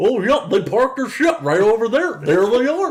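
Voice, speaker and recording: A man's put-on character voice, extremely high-pitched, with very wide pitch swings at a moderate pace. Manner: goofy, dopey.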